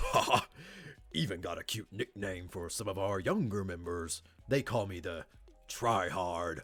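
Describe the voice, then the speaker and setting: A man uses a put-on character voice with a fairly low pitch. He speaks at a moderate pace. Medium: game stream. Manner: earnest, polite, nerdy.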